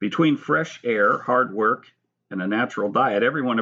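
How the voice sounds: In a quiet background, a natural reading voice moves with lively intonation.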